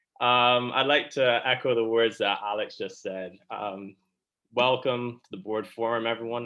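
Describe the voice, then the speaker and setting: A man's medium-pitched voice in a monotone, flat intonation at a moderate pace. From Barbados. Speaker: student election candidate. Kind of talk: campaign speech. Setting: online video forum.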